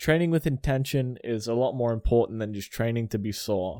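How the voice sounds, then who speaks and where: A man with an Australian accent, his dark, mellow tone and ordinary pitch variation at a fairly quick pace, on a very clean recording with a silent background. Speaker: personal trainer and podcast host. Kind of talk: casual monologue. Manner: animated.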